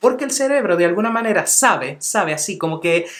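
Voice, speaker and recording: A man with a high pitch talks very fast. Noticeable background noise runs underneath. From Venezuela, Caracas (childhood), teens and adulthood abroad. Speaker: English teacher, language YouTuber. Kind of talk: tutorial.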